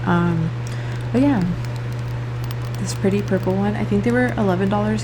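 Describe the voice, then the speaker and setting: Fairly quick speech from a woman, set against noticeable background noise. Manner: casual, chatty.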